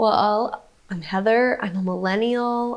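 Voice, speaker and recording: A woman with an ordinary speaking voice talks at a fairly slow pace with ordinary pitch variation, recorded very cleanly against a silent background. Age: 30s. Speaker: podcast co-host. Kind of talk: casual chat.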